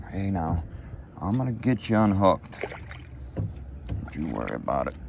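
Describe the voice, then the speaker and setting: Over noticeable background noise, a man with a very deep, low pitch and an American accent speaks at a moderate pace, his pitch swinging very widely. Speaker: outdoor fishing vlogger. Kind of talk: casual vlog commentary. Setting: outdoors on a kayak on a lake. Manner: animated, excited exclamations.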